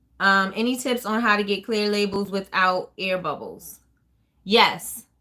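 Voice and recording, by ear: With a bright, sharp tone, a woman speaks at a fairly slow pace, her medium pitch moving in lively intonation.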